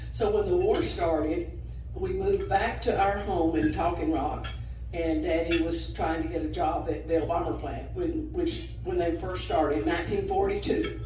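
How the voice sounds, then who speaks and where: A woman talks at a moderate pace while noticeable background noise and audible room echo surround her voice. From north Georgia, US South. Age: 80s+. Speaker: retired alumna sharing memories. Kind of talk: personal storytelling at a group lunch. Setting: restaurant lunch gathering. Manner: halting, with frequent fillers.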